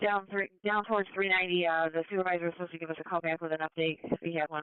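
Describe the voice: The tone is clear and smooth, with little pitch movement. The sound is dry and close, without any echo.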